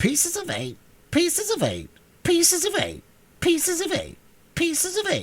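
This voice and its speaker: A put-on character voice, shrill and robotic at an extremely high pitch, moves at a moderate pace with long, frequent pauses. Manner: repetitive, mechanical, without pause or change.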